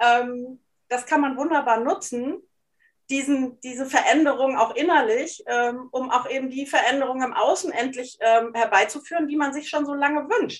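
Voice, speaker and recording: Her voice is high-pitched, with ordinary pitch variation. This woman keeps a moderate pace. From Hesse and East Frisia, Germany. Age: 40s. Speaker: life coach and journalist. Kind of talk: casual interview conversation.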